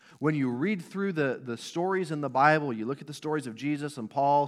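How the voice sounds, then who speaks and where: On a very clean recording with a silent background, a man with an unremarkable speaking voice talks fairly quickly at a fairly high pitch, his pitch varying in an ordinary way. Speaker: pastor. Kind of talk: sermon. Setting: church.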